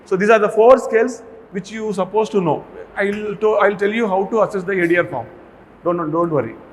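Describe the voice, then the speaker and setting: Here a man talks with an Indian accent at a fairly quick pace. His high pitch shows ordinary variation. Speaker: medical college pharmacology lecturer. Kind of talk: lecture. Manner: fast.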